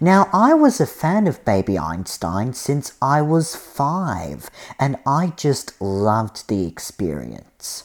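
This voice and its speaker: The speech moves at a very slow pace with hardly any pauses and very wide swings in pitch. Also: man, medium pitch for a man. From Australia. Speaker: podcast host. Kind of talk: scripted narration.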